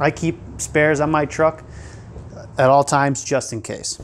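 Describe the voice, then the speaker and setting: A man talks while light background noise plays underneath. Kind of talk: tutorial. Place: workshop.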